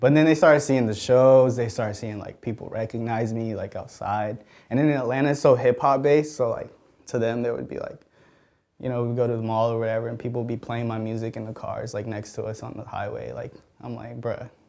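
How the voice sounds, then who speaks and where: Speaking at a very fast pace with a Spanish accent, a man with a medium-pitched voice and a dark, mellow tone shows big swings in loudness. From Mexico City, raised in Georgia. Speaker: music producer. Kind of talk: casual interview. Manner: casual, filler-heavy.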